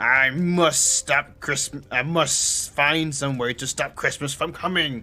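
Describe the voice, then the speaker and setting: In a put-on character voice, a man growls in a raspy, fairly high tone at a fairly slow pace with hardly any pauses. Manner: growling, scheming.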